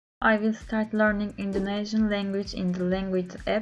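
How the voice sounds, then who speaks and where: In a Turkish accent, the speaker talks with monotone, flat intonation while music plays in the background. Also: woman. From Turkey. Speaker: language learner. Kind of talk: video diary. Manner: halting, many filler sounds.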